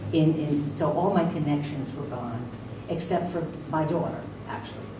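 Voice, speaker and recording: A woman with a New York accent, very deep and low in pitch, fairly even intonation, moderate pace, noticeable background noise and audible room echo. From New York City, Queens. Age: 70s. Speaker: retired social worker, forum speaker. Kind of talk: personal talk at a forum. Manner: halting.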